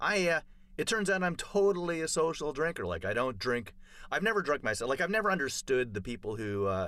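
A man with a slight Canadian accent, medium pitch and a bright, sharp tone, very wide pitch swings, fairly quick pace, on a very clean recording with a silent background. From Canada, Toronto. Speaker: comedian. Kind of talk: casual chat.

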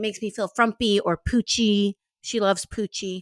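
An American accent from a woman with a fairly high pitch and an animated tone, on a very clean recording with a silent background and a dry, close sound with no echo. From US South, New Orleans. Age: 20s. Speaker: podcast co-host. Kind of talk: casual chat.

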